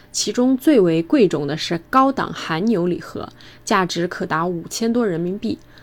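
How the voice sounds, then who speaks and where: A woman with a plain, everyday voice at medium pitch, lively intonation and a fairly slow pace. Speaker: student abroad. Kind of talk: scripted narration.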